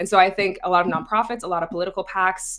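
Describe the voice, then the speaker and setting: A woman speaks quickly, at a fairly fast clip. Hers is an unremarkable speaking voice, fairly low in pitch. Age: 20s. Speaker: content creator and news influencer. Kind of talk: panel discussion. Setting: video call.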